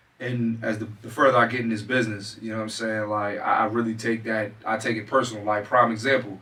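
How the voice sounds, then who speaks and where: A man talks at a very fast pace with hardly any pauses, his medium-pitched voice flat and monotone. Noticeable background noise sits behind him. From Philadelphia. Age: 30s. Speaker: comedian. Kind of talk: casual chat.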